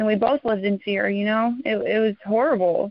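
In a plain, everyday voice, a woman talks at a moderate pace with a fairly high pitch and fairly even intonation. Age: 20s. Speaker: recovering addict sharing testimony. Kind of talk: testimony.

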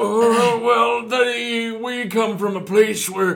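A man's put-on character voice, extremely high and fairly bright in tone, with vocal fry, little pitch movement and a slow pace

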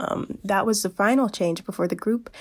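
A woman speaks in an unremarkable speaking voice at a medium pitch with ordinary pitch variation, recorded very cleanly over a silent background. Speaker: college internet radio host. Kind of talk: radio DJ patter, a chatty college-radio music segment with a sign-off. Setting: college internet radio station podcast. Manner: upbeat, bubbly and conversational, with casual fillers and an eager 'Yay!'; informal and friendly, but sometimes stumbling over names and facts.

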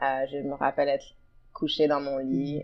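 A woman's very deep, low voice. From Ottawa, Canada. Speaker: leadership coach. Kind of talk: interview conversation.

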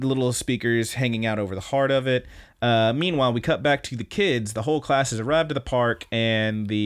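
The pitch rises and falls in an ordinary way. The delivery is plain reading aloud.

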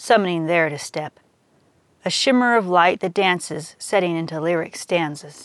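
A woman with an ordinary speaking voice talks at a moderate pace, her fairly low pitch showing ordinary variation against a quiet background. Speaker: poet and fiction podcaster. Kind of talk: spoken-word poetry reading, rhymed verse read aloud. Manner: measured, lyrical, rhythmic.

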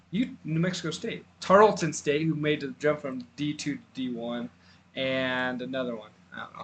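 Speaking with an American accent, a man has a normal speaking voice at a fairly high pitch with lively intonation. He keeps a moderate pace with big swings in loudness. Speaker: podcast host, college football. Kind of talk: casual sports podcast chat.

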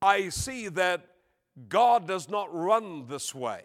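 Very slowly and with lively intonation, a man talks in a high voice on a very clean recording with a silent background. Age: 70s. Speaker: guest preacher. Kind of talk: sermon. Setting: church with live congregation.

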